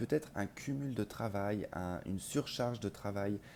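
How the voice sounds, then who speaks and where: The voice has a dark, mellow tone and lively intonation. It moves at a very slow pace. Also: man. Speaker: tarot reader. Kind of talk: tarot reading to camera. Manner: quiet, cannot speak loudly; hesitant, many filler sounds.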